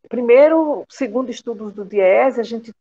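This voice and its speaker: Her pitch swinging very widely, a woman talks at a fairly slow pace. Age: 60s. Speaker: retired domestic worker and union leader. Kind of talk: interview conversation.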